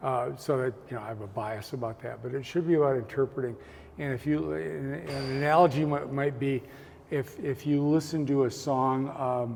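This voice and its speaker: A man's medium-pitched voice at a moderate pace with ordinary pitch variation, amid noticeable background noise. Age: 70s. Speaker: artist. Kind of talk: interview. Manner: halting, frequent repetitions.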